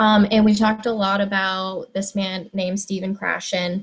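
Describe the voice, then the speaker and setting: Speaking at a moderate pace with an American accent, a woman's medium-pitched, somewhat breathy voice stays monotone and flat. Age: 20s. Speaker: high school Spanish teacher. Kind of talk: presentation. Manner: frequent filler words (um, like).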